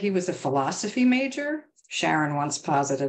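This woman speaks at a moderate pace with a fairly low pitch. Her pitch swings very widely. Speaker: writer. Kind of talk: prose poetry reading. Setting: video call. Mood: warm, smiling, relaxed. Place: home room. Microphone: webcam.

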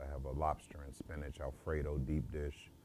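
A man speaks with an American accent at a very deep, low pitch, with vocal fry. Light background noise sits behind him. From US Midwest, St. Louis, Missouri. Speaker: home chef. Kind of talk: interview monologue, self-promotion. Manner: halting, many fillers.

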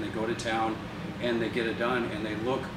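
A man at a fairly quick pace against loud background noise. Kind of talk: casual introduction to camera. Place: hall. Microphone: camera far.

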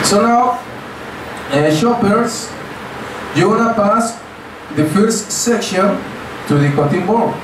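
Speaking very slowly with long, frequent pauses, a man with a high-pitched voice and ordinary pitch variation is heard over noticeable background noise and audible room echo. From Mexico. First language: Spanish. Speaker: cooking class instructor. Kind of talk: cooking class demonstration. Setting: outdoor cooking class with tourist group. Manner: animated.

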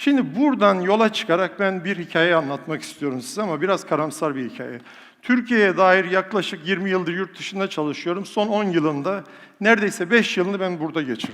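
The speech is fairly quick, with an animated tone and lively intonation. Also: man, high pitch for a man. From Turkey, rural village. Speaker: professor and public speaker. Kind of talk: motivational talk to a live audience. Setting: stage with audience. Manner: animated, rhetorical.

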